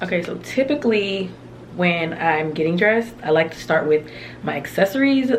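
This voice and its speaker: Amid noticeable background noise and audible room echo, a woman speaks with lively intonation at a fairly low pitch. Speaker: beauty vlogger. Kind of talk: casual tutorial.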